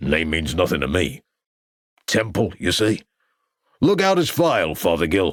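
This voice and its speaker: A booming, very deep-pitched man's put-on character voice at a moderate pace, with very even loudness, long and frequent pauses, and a very clean recording over a silent background. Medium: read story. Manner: brash, brusque.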